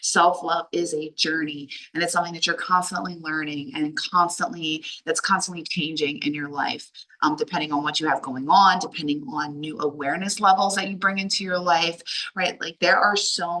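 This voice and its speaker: Speaking at a fairly quick pace with an American accent, a woman with a fairly low voice talks over noticeable background noise. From Delaware, US. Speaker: life coach. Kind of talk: online workshop talk. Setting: video call from a hallway while traveling. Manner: loud; animated.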